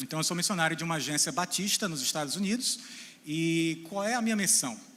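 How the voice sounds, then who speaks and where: The speech moves at a very fast pace with a bright, sharp tone. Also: man. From Brazil, central Ceará (Boa Viagem). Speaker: missionary and theology lecturer. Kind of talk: talk to a church audience. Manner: informal, joking.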